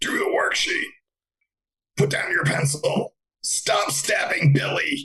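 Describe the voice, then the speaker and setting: A raspy put-on character voice at a fairly slow pace, broken by long, frequent pauses. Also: man. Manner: stern, commanding.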